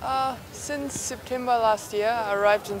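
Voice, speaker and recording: Noticeable background noise runs through the clip. The woman's voice has audible room echo. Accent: German. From Germany. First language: German. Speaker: student. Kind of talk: interview.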